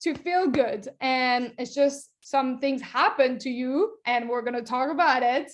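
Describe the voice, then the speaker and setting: Against a quiet background, the speaker talks fairly slowly with hardly any pauses and ordinary pitch variation. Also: woman, high pitch for a woman. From France. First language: French. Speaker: nutrition coach. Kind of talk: online workshop presentation. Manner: animated.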